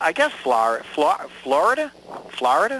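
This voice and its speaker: The voice moves at a fairly slow pace with very wide pitch swings. Noticeable background noise runs underneath. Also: man. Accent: New York. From US, New York. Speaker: American immigrant to Canada interviewed about identity. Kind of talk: radio interview. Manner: halting, with many false starts.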